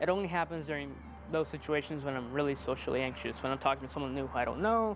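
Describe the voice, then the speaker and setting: Over music in the background, a man with a fairly high voice talks at a very fast pace with lively intonation. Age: young. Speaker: aspiring video creator, maintenance worker. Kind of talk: casual interview chat.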